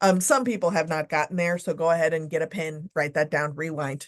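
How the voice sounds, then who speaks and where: A woman talks at a fairly quick pace with an American accent. Her pitch variation is ordinary, and the background is quiet. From Texas. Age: 40s. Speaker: leadership and diversity speaker. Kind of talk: podcast interview. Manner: loud.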